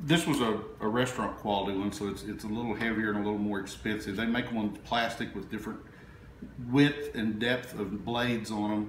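With audible room echo and light background noise, a man speaks fairly quickly at a fairly low pitch with ordinary pitch variation. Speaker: chef demonstrating a recipe. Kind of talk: cooking tutorial. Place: kitchen. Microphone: camera far.

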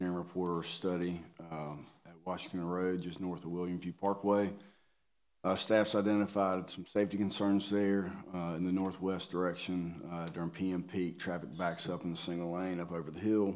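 A man talks with flat, monotone intonation in a very deep, low pitch, keeping a moderate pace. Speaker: presenter. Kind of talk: meeting presentation. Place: meeting room. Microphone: podium.

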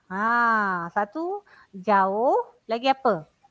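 A woman's lively intonation against a quiet background. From Malaysia, Pahang; Malaysia. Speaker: primary school teacher. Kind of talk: lecture. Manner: animated. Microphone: headset.

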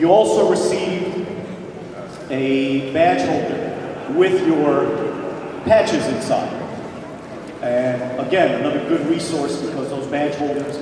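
Speaking at a fairly slow pace, a man has a medium pitch and ordinary pitch variation, with clear background noise and audible room echo.

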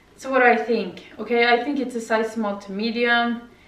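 Her intonation stays monotone and flat throughout. Audible room echo surrounds the woman's voice. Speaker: vlogger. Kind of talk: casual vlog chat. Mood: mildly critical, relaxed. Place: home room. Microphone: camera far.

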